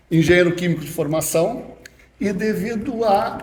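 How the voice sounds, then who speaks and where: A man speaks at a high pitch amid audible room echo. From Rio Grande do Sul, Brazil (Passo Fundo). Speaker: chemical engineer, environmental scientist. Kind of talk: casual podcast interview.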